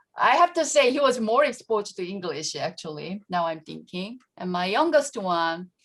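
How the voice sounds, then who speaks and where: A woman speaks with lively intonation at a medium pitch. The background is quiet. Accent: Korean. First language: Korean. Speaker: education professor. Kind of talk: panel Q&A. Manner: halting, many fillers.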